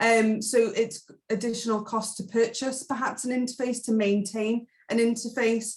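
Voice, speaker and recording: At a moderate pace, a woman talks in a somewhat breathy voice with monotone, flat intonation. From Isle of Man. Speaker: hotel tech sales specialist. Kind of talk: webinar presentation.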